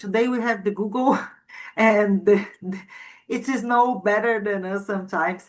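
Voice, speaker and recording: With music playing in the background, a woman with a non-native accent speaks at a medium pitch and with fairly even intonation. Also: moderate pace. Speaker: student. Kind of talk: class discussion report. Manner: halting.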